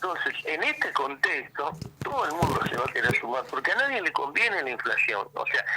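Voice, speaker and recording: A man speaks fairly quickly while noticeable background noise runs underneath. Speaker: economist. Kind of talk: radio interview. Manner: halting.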